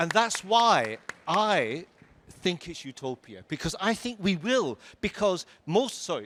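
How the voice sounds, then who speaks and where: An animated man's voice with a northern English accent, high pitch, very wide pitch swings and a bright, sharp tone. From northern England, Lancashire. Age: 60s. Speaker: tech company CEO. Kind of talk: fireside chat on stage.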